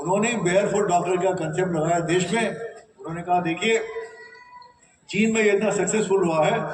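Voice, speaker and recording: Amid audible room echo and noticeable background noise, a man with a high pitch speaks at a moderate pace with fairly even intonation and long, frequent pauses. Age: 70s. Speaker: state disaster management official. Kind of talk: speech to trainees.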